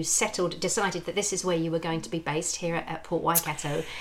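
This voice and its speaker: Background noise is noticeable. Through it, a woman talks. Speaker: podcast host. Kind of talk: casual chat.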